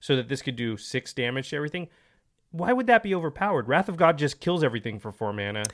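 This man talks at a very fast pace. His pitch swings very widely. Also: fairly high pitch for a man, very clean recording, silent background. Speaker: co-host of a card game podcast. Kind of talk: casual chat.

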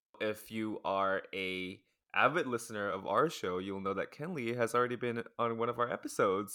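A man speaks at a moderate pace with medium pitch and ordinary pitch variation. His tone is bright and sharp, on a very clean recording with a silent background. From Taiwan. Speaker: podcast host. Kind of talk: casual chat.

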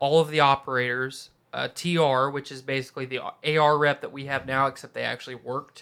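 A man speaks with a bright, sharp tone at a fairly high pitch. His intonation stays fairly even. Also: big swings in loudness, very clean recording, silent background. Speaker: podcast co-host. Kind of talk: casual banter podcast. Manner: talks the most.

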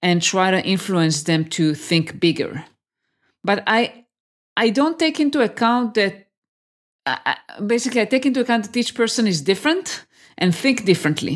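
The pitch swings very widely. Long, frequent pauses break up the speech. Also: woman, medium pitch for a woman, moderate pace, very even loudness, very clean recording, silent background. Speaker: tech career mentor. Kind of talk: interview.

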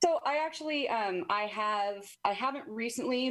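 An unremarkable speaking voice with an American accent moves at a fairly slow pace. The pitch varies in an ordinary way. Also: woman. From Arizona. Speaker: recovering alcoholic. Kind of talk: testimony.

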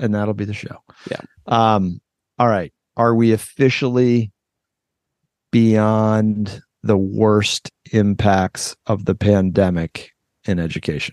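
Speaking at a very slow pace with long, frequent pauses, a man with a fairly low pitch keeps his intonation fairly even, the sound dry and close with no echo. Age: 50s. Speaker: education podcast host. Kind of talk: casual chat.

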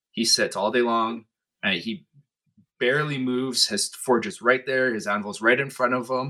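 A man speaks in a Canadian Prairie accent. His tone is bright and sharp, his pace fairly slow. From northern Manitoba, Canada. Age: 30s. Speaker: blacksmith. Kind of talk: casual interview.

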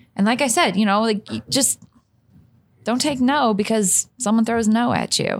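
A woman's fairly high voice at a moderate pace, with ordinary pitch variation and long, frequent pauses, on a very clean recording with a silent background. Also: very even loudness. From St. Louis, Missouri. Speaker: distillery master taster, former bartender. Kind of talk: casual interview. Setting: in person at a distillery.

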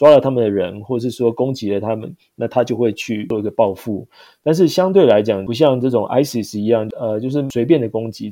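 A man with a medium-pitched voice and a dark, mellow tone. He talks at a fairly quick pace with ordinary pitch variation. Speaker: overseas sales manager. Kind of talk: interview.

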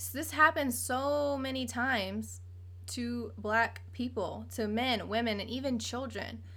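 A woman with an American accent at a fairly slow pace, big swings in loudness and audible room echo. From Virginia Beach, Virginia. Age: 20s. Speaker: podcast host. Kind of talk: casual chat.

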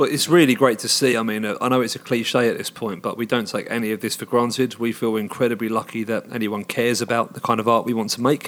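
Very fast and fairly even in intonation, a man speaks at a medium pitch with a southern English accent. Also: hardly any pauses. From England, Hertfordshire. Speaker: rock band singer. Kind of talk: interview. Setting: concert venue.

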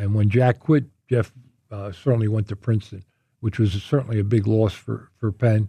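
A man with an American accent, medium-pitched and somewhat breathy, dark and mellow in tone, at a moderate pace, in a dry, close sound with no echo against a quiet background. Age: 70s. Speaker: former college basketball player. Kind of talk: interview. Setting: studio. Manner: halting.

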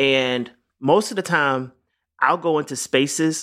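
A man speaks loudly in a bright, sharp tone. The recording is very clean, with a silent background. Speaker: music producer and artist. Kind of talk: casual chat.

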